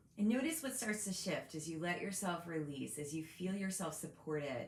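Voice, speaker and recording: Woman's fairly low-pitched voice with lively intonation at a moderate pace, noticeable background noise behind it. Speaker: meditation guide. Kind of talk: guided meditation. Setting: video recording.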